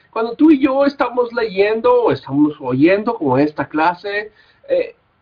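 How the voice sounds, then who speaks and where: Speaking at a fairly slow pace, a man with a slight Mexican accent has a high pitch. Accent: somewhat Mexican. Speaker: Bible college teacher. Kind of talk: lecture. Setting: recorded class without live audience. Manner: halting, with fillers.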